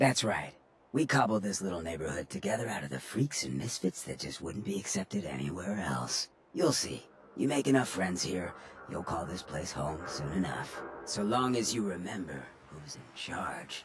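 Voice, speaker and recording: Putting on a character voice, a man speaks with very deep, low pitch at a moderate pace. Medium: machinima. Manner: smooth, drawling, streetwise.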